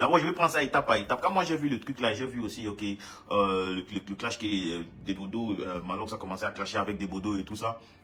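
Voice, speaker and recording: Over noticeable background noise, a man talks at a very fast pace in a fairly low pitch with lively intonation. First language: English (speaking French). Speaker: musician. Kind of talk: casual monologue statement. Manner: halting, many repetitions.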